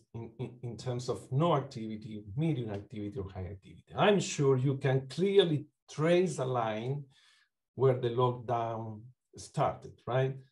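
A man's somewhat breathy voice at a fairly slow pace, with lively intonation, big swings in loudness, and a quiet background. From Uruguay. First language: Spanish. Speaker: psychology lecturer and clinician; psychology lecturer. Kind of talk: academic talk. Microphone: video call.

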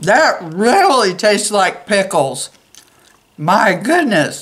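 Putting on a character voice, a woman speaks at a medium pitch with big pitch swings and a fairly bright tone. Her pace is very slow, and the room echo is audible.

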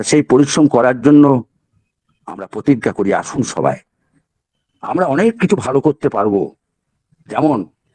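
Dark, mellow tone with lively intonation in a dry, close sound with no echo. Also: man, medium pitch for a man. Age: old. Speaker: motivational speaker. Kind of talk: motivational webinar talk. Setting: webinar.

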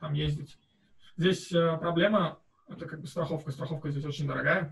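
A man talks at a fairly high pitch with monotone, flat intonation. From Uzbekistan (Tashkent). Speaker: master's student. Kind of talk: interview answer. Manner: casual, conversational. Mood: relaxed, friendly. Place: home room.

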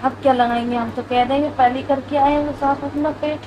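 A woman speaks at a moderate pace in a high, strained voice with a weary tone and monotone, flat intonation. Noticeable background noise is in the recording. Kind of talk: casual vlog chat. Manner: strained, weary speech through labor pain. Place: home room. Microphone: camera far.

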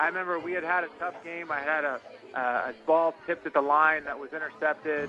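Against noticeable background noise, a man with a fairly high pitch speaks in a flat monotone. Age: 20s. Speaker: former college football quarterback. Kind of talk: radio interview. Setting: phone call.

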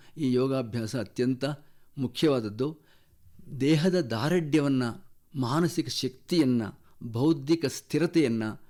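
A man talks at medium pitch with a dark, mellow tone. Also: ordinary pitch variation. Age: 70s. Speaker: yoga teacher. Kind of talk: radio interview.

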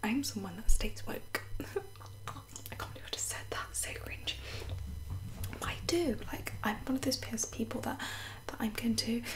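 There is noticeable background noise behind this woman's voice. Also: big swings in loudness. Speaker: ASMR creator. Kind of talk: casual chatty talk to camera. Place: home room. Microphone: studio mic.

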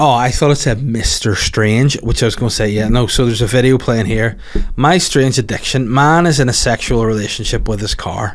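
With a Northern Irish accent, the speaker talks at a fairly quick pace with ordinary pitch variation. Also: man, medium pitch for a man. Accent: Northern Irish (Belfast). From Northern Ireland. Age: 30s. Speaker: comedian and podcast host; comedian, podcast host. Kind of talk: casual solo chat. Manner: animated. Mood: jokey, ranting banter. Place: studio. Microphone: studio mic.

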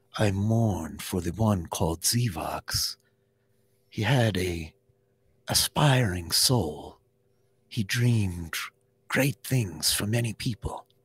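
Using a put-on character voice, a man speaks at a fairly low pitch with ordinary pitch variation and a calm, solemn tone. His very slow delivery has long, frequent pauses, in a dry, close sound with no echo and a very clean recording with a silent background. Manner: calm, solemn, formal.

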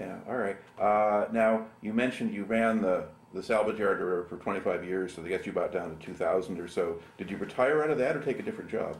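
Ordinary pitch variation marks an ordinary speaking voice that talks at a fairly quick pace. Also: man, fairly low pitch for a man. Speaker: oral history interviewer. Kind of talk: oral history interview.

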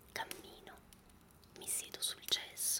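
Whispering comes through at a very slow pace. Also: man. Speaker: poetry reader. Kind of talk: poetry reading. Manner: whispered, soft-spoken. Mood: calm, intimate, melancholic.

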